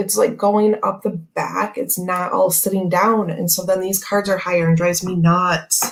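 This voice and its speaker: Someone uses a raspy, put-on character voice at a middle pitch, keeping a moderate pace with hardly any pauses. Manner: loud, yelling, exasperated.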